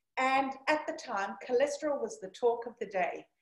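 A woman talks at a moderate pace against a quiet background, with audible room echo. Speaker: keynote speaker. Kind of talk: presentation talk with anecdote. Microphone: video call.

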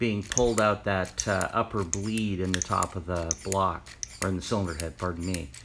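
A man speaks with fairly low pitch and ordinary pitch variation. His pace is moderate over light background noise. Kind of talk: tutorial. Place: garage. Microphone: phone near.

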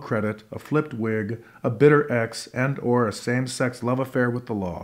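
A gravelly man's voice, theatrical in tone, with fairly even intonation. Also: quiet background. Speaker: performance poet and actor. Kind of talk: poem performed. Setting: living room concert with audience. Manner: gritty, rhythmic, theatrical delivery. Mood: wry, sardonic, deliberate. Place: home room.

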